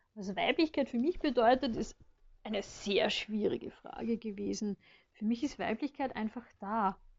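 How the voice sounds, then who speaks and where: A woman's fairly high, somewhat breathy voice with lively intonation and a moderate pace. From Vienna, Austria. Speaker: friend of host. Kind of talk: recorded voice message.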